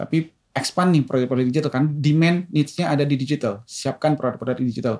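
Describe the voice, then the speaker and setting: A man talks at a very fast pace with hardly any pauses, his pitch fairly high. His loudness stays very even, and pitch variation is ordinary. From Indonesia, Medan (Deli Tua), North Sumatra. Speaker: telecom executive. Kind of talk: interview.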